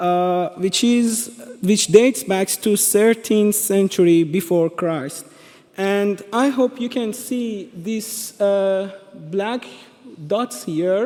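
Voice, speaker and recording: Spoken at a very slow pace in a Persian accent, the voice shows ordinary pitch variation against noticeable background noise. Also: man, high pitch for a man. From Iran. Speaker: presenter. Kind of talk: presentation. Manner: halting, many fillers and restarts.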